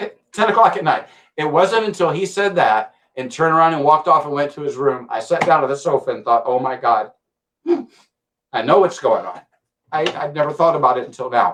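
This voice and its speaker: The speaker has an ordinary speaking voice and an American accent. The pace is fairly quick, with lively intonation. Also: man, fairly high pitch for a man. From US South, Mississippi. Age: 60s. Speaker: health supplement user sharing testimony. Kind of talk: testimony.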